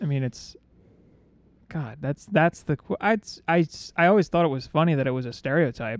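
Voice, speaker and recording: A man with an ordinary speaking voice talks at a fairly quick pace in a fairly high pitch, with lively intonation. The sound is dry and close with no echo, and his loudness swings widely. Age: 30s. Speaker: podcast co-host. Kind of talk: casual chat.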